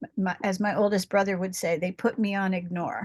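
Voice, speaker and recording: A woman with a medium pitch and a somewhat breathy voice talks at a moderate pace. The sound is dry and close with no echo, over a quiet background. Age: 70s. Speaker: support group participant. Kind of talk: personal sharing in group discussion. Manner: halting, with false starts.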